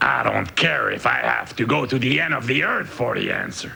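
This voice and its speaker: A raspy, cartoonish character voice from a man at a moderate pace, with clear background noise. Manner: gruff, hustling.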